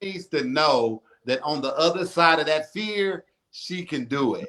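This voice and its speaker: A man with a plain, everyday voice speaks at a fairly slow pace, using a fairly high pitch and ordinary pitch variation. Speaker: radio talk show host. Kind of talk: casual interview.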